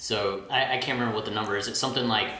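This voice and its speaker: A man speaks with a Southern US accent in a fairly low voice. His intonation is monotone and flat, with noticeable background noise. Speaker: industrial engineer. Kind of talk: casual podcast guest talk.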